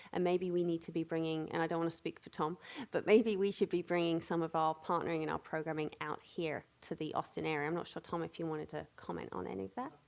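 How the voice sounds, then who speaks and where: A woman with a British accent talks at a very fast pace. Her pitch varies in an ordinary way. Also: fairly low pitch for a woman, hardly any pauses. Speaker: panel moderator. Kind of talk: panel moderation. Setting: stage with audience.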